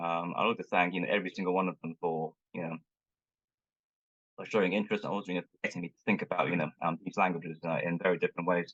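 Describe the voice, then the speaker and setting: Speaking at a very fast pace, a man with a very deep, low pitch talks in a Cantonese accent. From Hong Kong. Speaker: linguist and Chinese language teacher. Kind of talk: conference talk. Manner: halting, many fillers.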